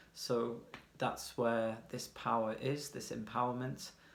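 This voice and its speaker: Amid audible room echo, a man speaks at a fairly slow pace and medium pitch. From UK. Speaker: tarot reader. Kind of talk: tarot reading. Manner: casual, hesitant with fillers.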